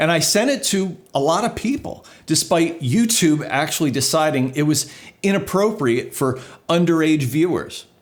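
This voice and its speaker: A man with a New Jersey accent talks at a moderate pace in a high pitch. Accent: American, New Jersey. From US, New Jersey. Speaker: video producer and YouTuber. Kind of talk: casual vlog monologue.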